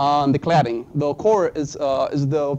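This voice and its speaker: A man with a non-native accent speaks at a fairly slow pace. His tone is dark and mellow, fairly high in pitch, with ordinary pitch variation. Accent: foreign accent, self-described. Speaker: student presenter. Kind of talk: class presentation. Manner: halting, many fillers.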